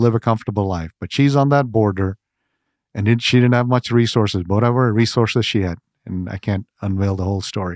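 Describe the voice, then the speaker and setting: A man with an Indian accent, medium pitch, dry close sound with no echo, quiet background. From India, Gujarat. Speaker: ministry president. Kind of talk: interview conversation. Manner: animated.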